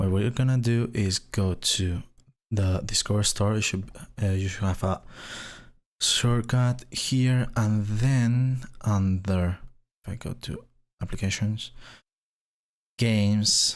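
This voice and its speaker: Speaking at a very slow pace with long, frequent pauses, a man with a Spanish accent and a fairly low pitch comes through in a very clean recording with a silent background. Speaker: gaming tech youtuber. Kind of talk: tutorial. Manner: hesitant, many fillers.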